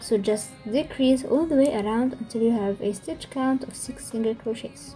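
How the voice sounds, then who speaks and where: Music plays behind a woman with a fairly high pitch. She talks at a moderate pace with lively intonation. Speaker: crochet tutorial maker. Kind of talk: casual tutorial narration. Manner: may stutter.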